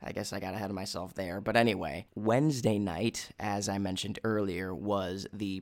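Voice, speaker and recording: Over a very clean recording with a silent background, a man with a Minnesota accent speaks in an enthusiastic tone at a fairly low pitch. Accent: Minnesotan American. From US Midwest. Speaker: podcast host and study-abroad student. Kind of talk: casual solo monologue.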